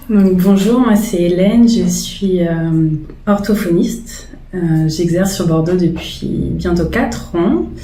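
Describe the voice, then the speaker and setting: Speaking at a very slow pace with very even loudness, a woman is heard over noticeable background noise with audible room echo. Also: medium pitch for a woman, ordinary pitch variation. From France, Charente. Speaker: speech therapist. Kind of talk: documentary interview testimony.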